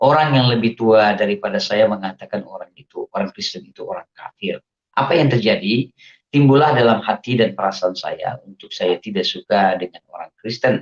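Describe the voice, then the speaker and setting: A man speaks at a fairly quick pace in a medium pitch with ordinary pitch variation, his loudness swinging widely in a dry, close sound with no echo. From Indonesia, Aceh. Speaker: religious convert giving testimony. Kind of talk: testimony.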